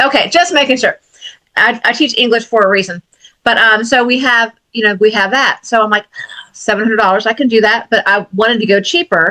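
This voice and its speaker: This woman talks at a fairly quick pace in a bright, sharp tone, her pitch fairly high with ordinary variation and her loudness very even. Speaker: indie author and podcast co-host, English teacher. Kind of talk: casual chat.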